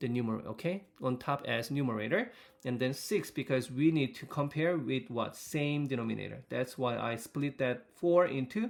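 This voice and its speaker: This man has an ordinary speaking voice, talking at a moderate pace with medium pitch, ordinary pitch variation and hardly any pauses. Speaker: teacher. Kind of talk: recorded math lesson for students. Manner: frequent fillers, rhetorical questions.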